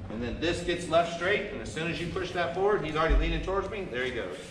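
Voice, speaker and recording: A man talks at a very fast pace. The room echoes audibly, and background noise is noticeable. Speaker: clinic instructor. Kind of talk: lecture. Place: hall. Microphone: camera far.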